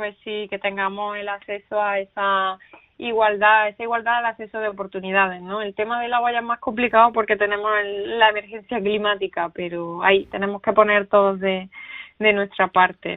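A woman speaks with an Andalusian accent at a moderate pace. Her intonation stays monotone and flat. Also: medium pitch for a woman, big swings in loudness. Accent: Andalusian accent, kept. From Andalusia, Spain. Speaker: writer and veterinarian. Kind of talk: interview.

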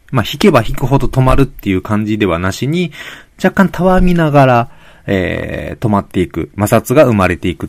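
Pitch swings very widely as a man with a medium pitch talks at a fairly quick pace. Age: middle-aged. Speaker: podcast host, physical therapist and amateur road cyclist. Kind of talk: solo podcast monologue. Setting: home room. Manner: polite, many filler words.

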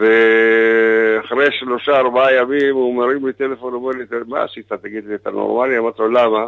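A man's medium-pitched voice, monotone and flat, at a moderate pace with hardly any pauses. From Israel, kibbutz. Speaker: singer. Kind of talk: phone interview. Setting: phone call.

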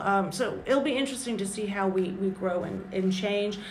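There is audible room echo and noticeable background noise as a woman speaks at a medium pitch. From South Carolina. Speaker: journalist. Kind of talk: interview.

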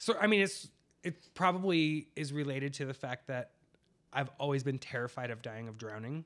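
A man speaks with an American accent at a moderate pace, his pitch fairly high. It is a normal speaking voice with lively intonation. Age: 40s. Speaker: podcast co-host. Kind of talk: casual chat.

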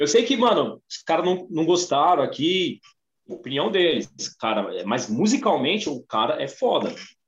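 A man with a high voice talks at a moderate pace, his pitch swinging very widely, with music playing in the background. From Brazil, São Paulo ABC region. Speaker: music podcast guest. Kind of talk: casual chat.

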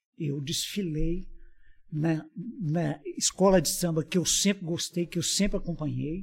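At a fairly slow pace, a man talks in a high pitch with ordinary pitch variation. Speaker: shopkeeper. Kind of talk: casual chat.

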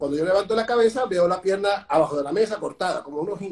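A man with a Venezuelan accent talks at a very fast pace in a high voice with ordinary pitch variation. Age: 40s. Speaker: speaker and personal trainer. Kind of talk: interview.

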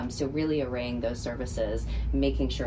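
Noticeable background noise behind a woman talking at a fairly quick pace with ordinary pitch variation. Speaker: nonprofit philanthropy director. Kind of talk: radio interview.

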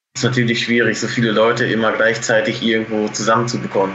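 The speaker keeps a moderate pace, with audible room echo around the voice. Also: man. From Germany, Münsterland near the Dutch border. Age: 20s. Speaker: poultry farmer. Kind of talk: interview.

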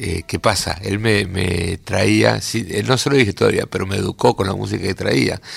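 Very deep and low, a man's voice carries vocal fry and lively intonation at a fairly slow pace. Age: 60s. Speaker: guitarist, composer and music teacher. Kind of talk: radio interview. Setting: radio studio. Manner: halting, with many fillers.

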